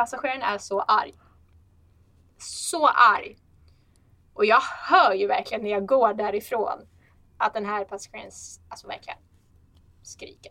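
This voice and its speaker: With long, frequent pauses and big swings in loudness, a woman speaks at a moderate pace in a fairly high pitch with ordinary pitch variation. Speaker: flight attendant. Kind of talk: casual chat. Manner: animated.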